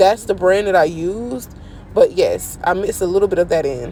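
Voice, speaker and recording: With noticeable background noise behind her, a woman speaks in an animated tone at a medium pitch and moderate pace. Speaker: home cooking channel host. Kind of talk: cooking tutorial.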